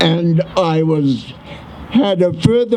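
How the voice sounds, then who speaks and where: Noticeable background noise runs beneath speech delivered very slowly. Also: man. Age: 80s+. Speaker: war veteran. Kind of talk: memorial speech.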